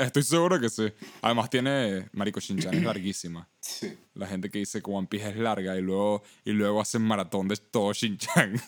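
A man speaks with a Venezuelan accent. His pitch is fairly low and his pace moderate. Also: ordinary pitch variation. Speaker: podcast co-host. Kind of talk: casual chat.

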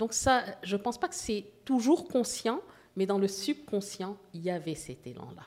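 A woman talks at a fairly slow pace, her pitch swinging very widely and her loudness varying greatly. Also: medium pitch for a woman. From Haiti and Morocco (Casablanca). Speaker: visual artist. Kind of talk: interview.

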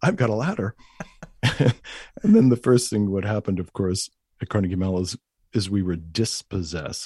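A man talks in a very deep, low pitch with a dark, mellow tone, ordinary pitch variation, and a somewhat breathy quality. The sound is dry and close with no echo, over a quiet background. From New York, Long Island. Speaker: Jungian analyst. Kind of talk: interview conversation.

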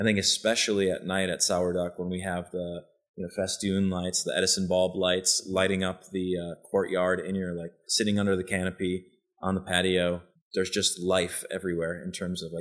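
A man with an American accent speaks in a very deep, low pitch with monotone, flat intonation at a moderate pace, on a very clean recording with a silent background. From US Midwest (western Wisconsin). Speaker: chef and restaurant partner. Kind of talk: casual interview. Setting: restaurant upstairs office.

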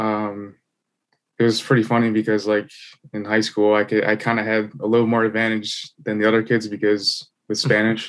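With flat, monotone intonation, a man speaks at a moderate pace in a fairly low voice. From US Midwest, Illinois. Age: 20s. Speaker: podcast guest. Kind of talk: casual chat.

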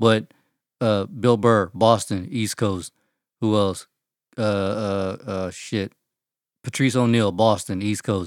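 A man with a Texan accent and a fairly low pitch, at a very slow pace with long, frequent pauses and fairly even intonation, on a very clean recording with a silent background. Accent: Texan American English. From Texas. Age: 30s. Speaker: podcast co-host. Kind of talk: casual chat.

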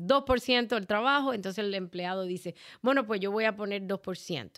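A woman speaks at a moderate pace with a medium pitch and ordinary pitch variation. She has an ordinary speaking voice, and the recording is very clean with a silent background. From Cuba. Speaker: life insurance agent. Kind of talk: interview.

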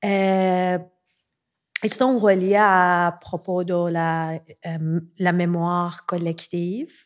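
This woman talks very slowly with a Persian accent, leaving long, frequent pauses. Her pitch is fairly low and her intonation fairly even, on a very clean recording with a silent background. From Iran, Tehran. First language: Persian (speaking French). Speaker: visual artist. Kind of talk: interview conversation. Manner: halting.

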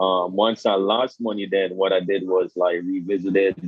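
A man with a Jamaican accent speaks in a very deep, low voice with monotone, flat intonation. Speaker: guest, crypto professional. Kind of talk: casual interview.

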